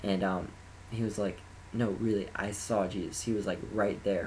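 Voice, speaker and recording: A man with a fairly low pitch, somewhat breathy, at a moderate pace and in a monotone, flat intonation. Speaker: college band applicant. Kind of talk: personal testimony to camera. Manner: hesitant, occasional stutters.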